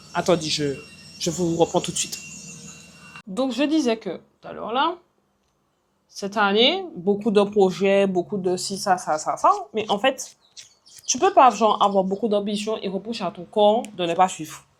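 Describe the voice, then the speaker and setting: Loud and at a medium pitch, a woman speaks at a fairly slow pace with lively intonation and long, frequent pauses. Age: 20s. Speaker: vlogger and entrepreneur. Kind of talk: casual vlog talk to camera. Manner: hesitant, many fillers.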